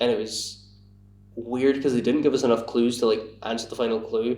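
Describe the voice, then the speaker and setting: The man's voice sits at a medium pitch with ordinary pitch variation. Audible room echo surrounds it. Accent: Scottish. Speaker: podcast guest. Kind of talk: casual chat. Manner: halting.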